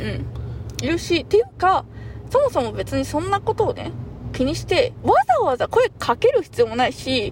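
A man speaks at a moderate pace while noticeable background noise carries on around him. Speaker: podcast co-host. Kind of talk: casual chat.

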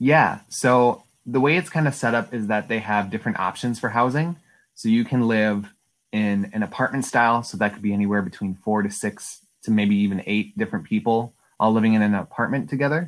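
On a very clean recording with a silent background, a man with an Upper Midwest accent speaks at a medium pitch with ordinary variation. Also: fairly quick pace. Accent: Upper Midwest American. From Wisconsin, De Pere. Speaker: college student. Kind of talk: interview.

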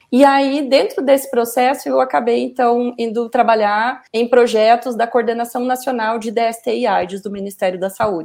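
Using an ordinary speaking voice, a woman talks at a moderate pace and a fairly high pitch with ordinary pitch variation and hardly any pauses. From Paraná, southern Brazil. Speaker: communication professor. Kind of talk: interview.

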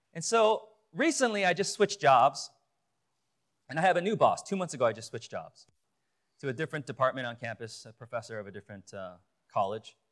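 Speaking with a Chicago accent, a man talks fairly quickly, his pitch swinging very widely and his loudness varying greatly. He takes long, frequent pauses. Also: very clean recording, silent background. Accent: Chicago American English. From Chicago, US. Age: 40s. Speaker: lay preacher and youth pastor. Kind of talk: sermon. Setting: church pulpit with audience. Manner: hesitant, many fillers.

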